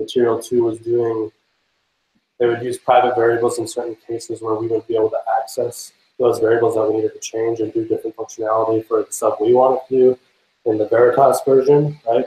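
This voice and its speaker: A medium-pitched man speaks in a somewhat breathy voice with monotone, flat intonation. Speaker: software developer giving a meetup talk. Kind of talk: technical presentation. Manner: fast; hesitant, many fillers.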